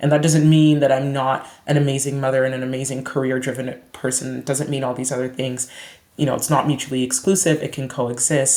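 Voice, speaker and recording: Over noticeable background noise, a woman with a Canadian accent talks at a fairly quick pace in a very deep, low pitch with monotone, flat intonation. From Canada (Brampton, Ontario). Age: 30s. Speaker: psychiatrist. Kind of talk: podcast interview.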